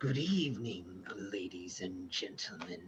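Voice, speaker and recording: A man's booming, put-on character voice at a fairly slow pace. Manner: theatrical, menacing.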